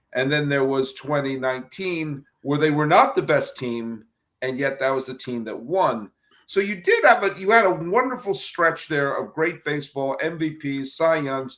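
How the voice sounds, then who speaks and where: Lively intonation marks the delivery, which keeps a moderate pace. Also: man, fairly high pitch for a man. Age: 50s. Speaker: baseball podcast host. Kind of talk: podcast interview. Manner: animated.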